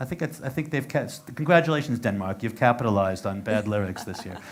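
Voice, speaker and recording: Swinging very widely in pitch, a man speaks at a very fast pace. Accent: American. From United States. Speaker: interviewer. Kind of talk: casual interview. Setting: fan cafe venue.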